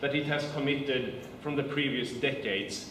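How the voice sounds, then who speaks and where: A man with a Swedish accent speaks against noticeable background noise and audible room echo. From Sweden. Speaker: politician. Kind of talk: political speech.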